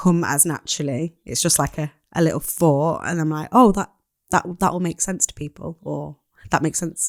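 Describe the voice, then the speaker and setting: A woman with a Mancunian accent speaks at a very deep, low pitch in a dry, close recording with no echo, very clean, with a silent background. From Manchester, northern England. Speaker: poet. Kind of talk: casual chat.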